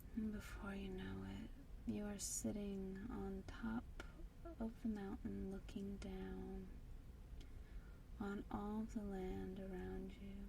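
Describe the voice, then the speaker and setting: A soft-spoken woman delivers her words very slowly, leaving long, frequent pauses. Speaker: meditation guide. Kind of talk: guided meditation. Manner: soft-spoken, slow.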